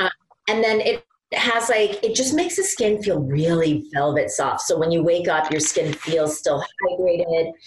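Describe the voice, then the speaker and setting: An ordinary speaking voice from a woman at medium pitch, with lively intonation, a moderate pace, and very even loudness. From Iowa, US Midwest. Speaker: skincare brand founder and concert pianist. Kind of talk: interview.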